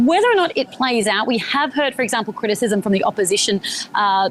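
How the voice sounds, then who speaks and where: Fairly high-pitched woman with an Australian accent at a fairly quick pace. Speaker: journalist. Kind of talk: live news interview. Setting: remote live cross from Sydney.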